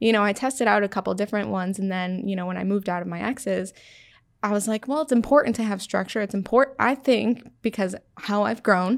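A woman with an American accent speaks at a fairly quick pace, at medium pitch with ordinary pitch variation. Hers is an unremarkable speaking voice, captured in a very clean recording with a silent background. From Syracuse, New York. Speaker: podcast guest. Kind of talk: casual interview. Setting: studio.

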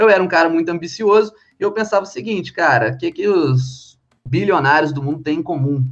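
This man's voice is high-pitched, with lively intonation. He talks at a fairly quick speed. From Brazil, Minas Gerais (Ubá). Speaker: financial educator. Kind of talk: podcast interview.

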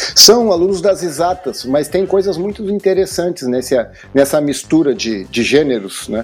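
A man talks with lively intonation at a high pitch, and there is noticeable background noise. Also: moderate pace. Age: 60s. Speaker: university professor. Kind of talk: casual chat. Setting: at home, remote call.

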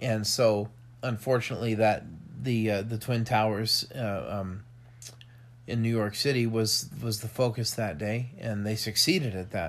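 A man with an American accent talks in a plain, everyday voice at a medium pitch and moderate pace, with ordinary pitch variation. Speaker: podcast host. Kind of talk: casual chat.

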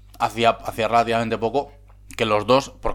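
A man speaks in a medium pitch with vocal fry. His intonation is monotone and flat. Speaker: podcast co-host. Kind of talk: casual chat.

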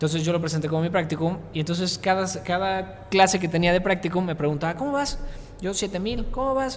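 Amid noticeable background noise and audible room echo, a man talks in a high pitch with ordinary pitch variation. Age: 20s. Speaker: entrepreneur and influencer. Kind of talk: interview.

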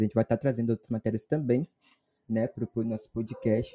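A man speaks fairly quickly at a medium pitch, his tone dark and mellow, his intonation fairly even, and the sound dry and close with no echo. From Brazil, Espírito Santo. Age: 20s. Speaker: university student podcast host. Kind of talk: casual chat.

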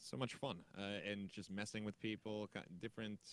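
A man with a plain, everyday voice speaks at a fairly low pitch and a fairly quick pace. The sound is dry and close, with no echo. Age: 30s. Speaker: gaming content creator. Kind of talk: casual interview.

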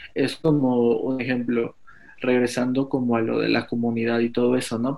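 A man talks at a fairly quick pace and a medium pitch. His intonation is monotone and flat, with noticeable background noise behind him. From Mexico. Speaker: fashion stylist. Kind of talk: casual chat.

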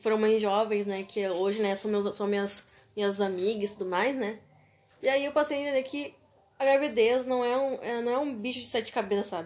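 A woman with an ordinary speaking voice talks at a fairly quick pace and a fairly high pitch, with ordinary pitch variation. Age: 20s. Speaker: podcast host. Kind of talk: casual chat.

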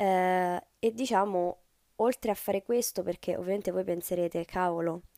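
Dark and mellow in tone, a woman's voice at a medium pitch moves at a moderate pace with ordinary pitch variation, in a very clean recording with a silent background and a dry, close sound with no echo. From Rome, Italy. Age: 20s. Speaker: startup founder. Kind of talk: podcast interview monologue.

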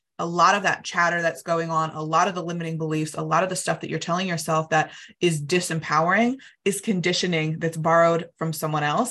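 A woman with an American accent, talking at a very fast pace in a fairly low voice, upbeat and animated, bright and sharp in tone, over a quiet background. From United States. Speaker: money coach. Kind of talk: interview, coaching explanation. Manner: upbeat, animated.

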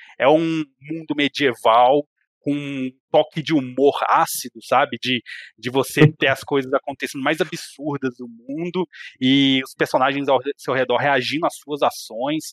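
In an ordinary speaking voice, a man with fairly high pitch talks at a fairly slow pace with fairly even intonation and a dry, close sound with no echo. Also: very clean recording, silent background. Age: 30s. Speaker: video game enthusiast and RPG specialist. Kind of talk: casual chat.

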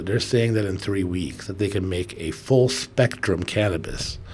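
A man with vocal fry at a moderate pace. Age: 40s. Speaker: cannabis podcast co-host. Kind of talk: casual chat. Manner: relaxed, many fillers.

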